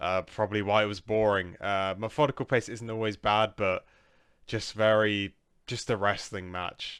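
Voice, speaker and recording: With a British accent, the speaker keeps a moderate pace and fairly even intonation on a very clean recording with a silent background. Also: man, fairly low pitch for a man. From UK. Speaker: wrestling reviewer. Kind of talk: casual review monologue. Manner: hesitant, many fillers.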